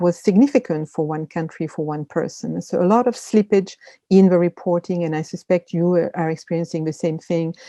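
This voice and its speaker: A woman with a French accent speaks at a fairly quick pace in a fairly low, dark, mellow voice with fairly even intonation. The sound is dry and close with no echo, over a quiet background. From France. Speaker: media literacy expert. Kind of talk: webinar presentation. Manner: hesitant, many fillers.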